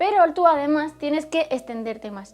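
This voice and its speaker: There is music in the background. A woman talks with lively intonation. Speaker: teacher and YouTuber. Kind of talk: tutorial.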